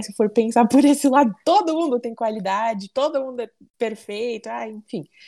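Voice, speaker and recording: At a moderate pace, a woman talks with a high pitch and a dark, mellow tone. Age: 20s. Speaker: football fan club president. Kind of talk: casual chat.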